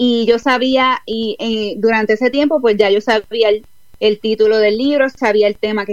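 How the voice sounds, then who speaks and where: A woman with an ordinary speaking voice keeps a moderate pace, her fairly high pitch held in fairly even intonation. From Puerto Rico. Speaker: author and life coach. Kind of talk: online interview.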